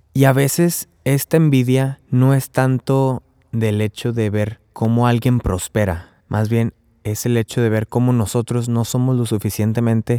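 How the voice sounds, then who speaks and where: A man's medium-pitched voice with a dark, mellow tone and ordinary pitch variation, fairly slow, dry and close with no echo, on a very clean recording with a silent background. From Mexico, Tamaulipas (Río Bravo). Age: 20s. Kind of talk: religious teaching podcast. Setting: recorded outdoors at a campsite. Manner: casual, conversational.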